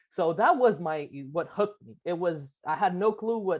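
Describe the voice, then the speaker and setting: A man talks at a moderate pace with a Lebanese accent and ordinary pitch variation. The background is quiet. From Lebanon. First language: Arabic. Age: 20s. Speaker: architect, business owner. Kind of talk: interview. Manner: halting.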